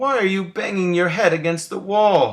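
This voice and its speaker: Using a put-on character voice, a man speaks at a high pitch. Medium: read story. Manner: mild, curious.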